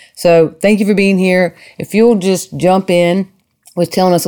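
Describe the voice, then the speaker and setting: This voice has a warm, enthusiastic tone and a Southern US accent. The pace is moderate. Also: woman. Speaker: podcast host and psychotherapist. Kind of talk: casual interview conversation.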